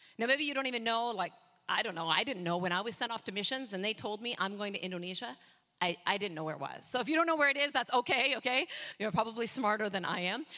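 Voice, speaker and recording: With a slight Canadian accent, a woman speaks very fast at a fairly high pitch, her tone bright and sharp and her intonation lively. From Canada. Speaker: missionary preacher. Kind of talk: sermon. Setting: church.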